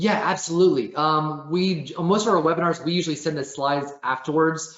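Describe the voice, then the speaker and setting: Speaking fairly quickly, a man's voice carries audible room echo. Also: fairly high pitch for a man, ordinary pitch variation. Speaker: webinar presenter. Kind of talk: webinar Q and A. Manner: fast.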